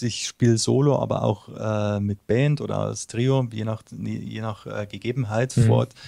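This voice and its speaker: At a moderate pace, a man with a Bavarian accent speaks in a dark, mellow tone. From Bavaria, Munich area. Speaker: singer-songwriter. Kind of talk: interview. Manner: hesitant, many fillers.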